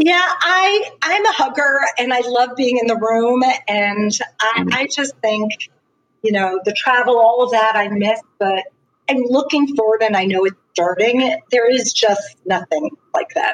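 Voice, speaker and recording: A woman speaks fairly slowly in an American accent, with fairly high pitch and lively intonation. It is a normal speaking voice. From Long Island, New York. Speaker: PR agency founder. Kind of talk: interview.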